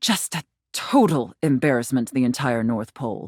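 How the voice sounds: A woman's put-on character voice at extremely low pitch, slightly husky at the edge, with lively intonation and moderate pace, in a dry, close sound with no echo and a very clean recording with a silent background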